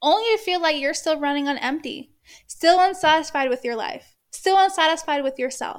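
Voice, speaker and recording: In a very clean recording with a silent background, a woman with an extremely high voice speaks at a moderate pace in an animated, passionate tone with ordinary pitch variation. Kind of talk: pep talk. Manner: emphatic, passionate, direct address; animated, casual swearing, laughs mid-sentence.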